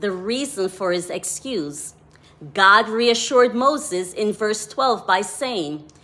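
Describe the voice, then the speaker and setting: A woman speaks with a Jamaican accent. Her pitch swings very widely. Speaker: devotional author. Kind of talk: devotional talk.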